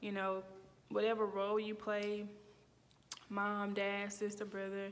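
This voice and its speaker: A woman with a Mississippi accent speaks at a fairly slow pace and medium pitch, with audible room echo. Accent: Mississippi Southern accent, noticeable. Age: 30s. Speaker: student. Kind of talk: personal reflection monologue. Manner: casual, with fillers and self-corrections.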